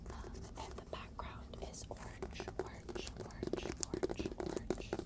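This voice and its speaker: Whispering at a fairly slow pace against noticeable background noise. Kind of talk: ASMR book rambles. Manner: soft-spoken, whispered.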